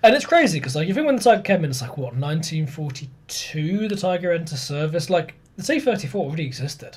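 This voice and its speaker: A man with a plain, everyday voice, fairly high pitch, lively intonation and a fairly quick pace. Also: hardly any pauses. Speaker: podcast host, history presenter. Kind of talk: casual chat and explaining history.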